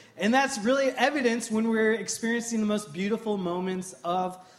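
Audible room echo follows a man's high-pitched voice, which moves at a moderate pace with ordinary pitch variation. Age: 30s. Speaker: pastor. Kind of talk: sermon.

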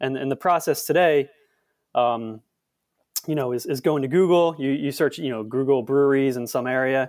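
With fairly high pitch, the man talks at a moderate pace using ordinary pitch variation. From Philadelphia. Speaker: app co-founder. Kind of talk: casual chat. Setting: remote call. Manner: halting, many fillers and repetitions.

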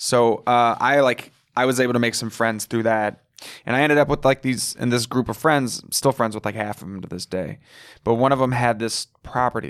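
A man speaks in a normal speaking voice at a medium pitch and moderate pace. His intonation is fairly even, and the recording is very clean with a silent background. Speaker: comedian. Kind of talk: casual chat, podcast interview. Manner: casual, profane, joking.

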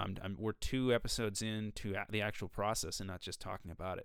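Speaking at a very fast pace with a fairly low pitch, ordinary pitch variation and an American accent, a man comes through on a very clean recording with a silent background. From Minnesota. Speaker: podcast host, musician and music teacher. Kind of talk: solo educational monologue. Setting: recording studio. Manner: hesitant with fillers and restarts.

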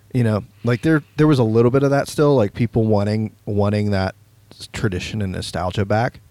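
A man with a fairly low pitch talks at a fairly quick pace with ordinary pitch variation, his dark, mellow tone captured in a dry, close sound with no echo. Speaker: podcast host. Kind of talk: casual chat.

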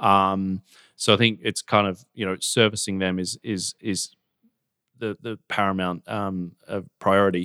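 On a very clean recording with a silent background and a dry, close sound with no echo, a man with an Australian accent speaks at a fairly low pitch in a bright, sharp tone with monotone, flat intonation. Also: fairly slow pace. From Australia, Gold Coast. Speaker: fintech company co-founder and chairman. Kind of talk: interview.

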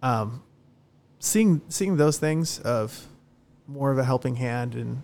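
The pace is moderate, with an American accent. Pitch varies in an ordinary way. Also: man. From Southern California. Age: 30s. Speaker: bar manager. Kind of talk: casual interview. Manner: halting.

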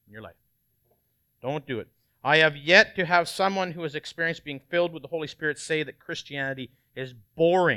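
A man with a fairly high pitch and ordinary pitch variation sounds animated, his tone bright and sharp, in a very clean, dry, close recording with no echo and a silent background. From Canada. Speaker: lay preacher. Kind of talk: sermon.

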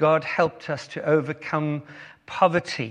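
At a fairly slow pace, a man with a South African accent talks in a fairly high pitch. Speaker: guest preacher. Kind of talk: sermon. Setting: church.

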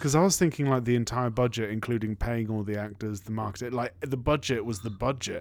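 Animated and very fast, a man at a medium pitch talks with ordinary pitch variation and hardly any pauses. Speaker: podcast host. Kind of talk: casual comedic banter. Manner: animated, jokey.

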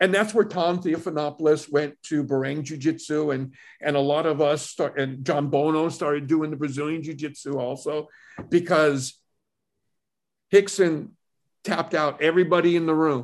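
An unremarkable speaking voice, a man's, comes at a fairly high pitch with fairly even intonation over a quiet background. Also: moderate pace. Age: 60s. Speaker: martial arts instructor. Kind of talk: casual interview chat.

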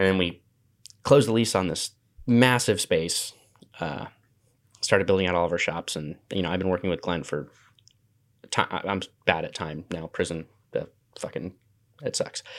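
A man with a West Coast accent, very deep and low in pitch, at a moderate pace with ordinary pitch variation and long, frequent pauses, on a very clean recording with a silent background. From Washington State. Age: 20s. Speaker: makerspace founder. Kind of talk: casual chat.

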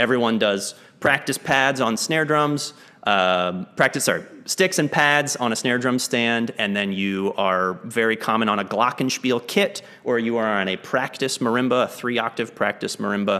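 Medium in pitch, a man talks with an American accent and a bright, sharp tone. His pace is moderate, with ordinary pitch variation. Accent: slight Southern twinge at most. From Texas, Lake Jackson near Houston. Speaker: percussionist and music educator. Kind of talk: interview conversation. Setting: video call.

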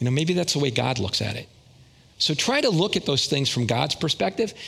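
Vocal fry and very wide pitch swings from a man at a moderate pace. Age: 60s. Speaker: lay preacher. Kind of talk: sermon. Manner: casual.

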